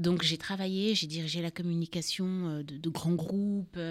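Speaking at a very slow pace, a woman uses a fairly low pitch and monotone, flat intonation. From Cameroon. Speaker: writer and mental health foundation founder. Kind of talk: radio interview. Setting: studio.

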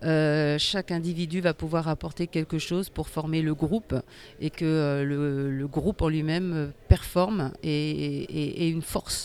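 A woman speaks at a very slow pace in a very deep, low pitch with fairly even intonation. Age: 40s. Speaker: para sitting volleyball athlete. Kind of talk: interview. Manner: halting, many hesitations.

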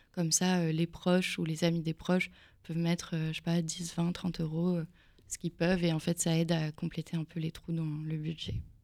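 A woman with a fairly low pitch talks at a moderate pace in a flat, monotone intonation. The recording is very clean, with a silent background. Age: 20s. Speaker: film director. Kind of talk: radio interview.

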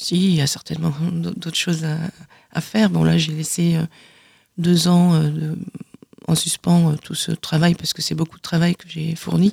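A woman talks at a fairly slow pace with long, frequent pauses and big swings in loudness, the sound dry and close with no echo. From southern France (Aude, Carcassonne area). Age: 50s. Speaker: author giving testimony. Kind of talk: radio interview testimony. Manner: halting, many repetitions.

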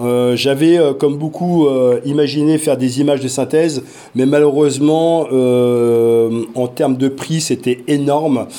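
Dark and mellow in tone, a man's voice holds very even loudness and fairly even intonation. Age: 40s. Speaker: parent and virtual reality project lead. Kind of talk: interview. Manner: hesitant, many fillers.

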